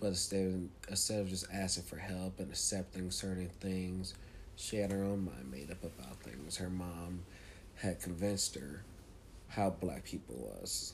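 A man speaks with a very deep, low pitch and ordinary pitch variation. His voice is somewhat breathy and his pace is moderate. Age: 20s. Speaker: podcast host. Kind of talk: casual monologue storytelling.

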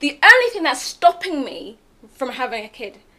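Moving at a moderate pace, a woman speaks in a raised, projected voice. Her tone is bright and sharp. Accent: British. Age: 20s. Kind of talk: casual group chat.

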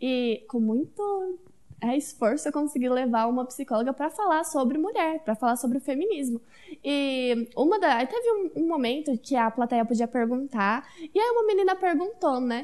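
A woman's high-pitched voice, lively in intonation, very even in loudness, at a moderate pace. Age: 20s. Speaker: communications student. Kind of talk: casual chat.

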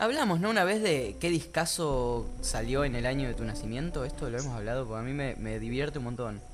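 A man with a Rioplatense accent at a fairly quick pace, hardly any pauses, and audible room echo. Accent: Argentine Rioplatense Spanish. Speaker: podcast co-host. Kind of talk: casual chat.

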